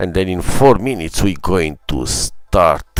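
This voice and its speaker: A man with a very deep, low voice talks fairly slowly, his pitch varying in an ordinary way. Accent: Ethiopian. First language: not English. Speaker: gaming streamer. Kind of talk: live stream commentary. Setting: live stream. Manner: halting, many fillers.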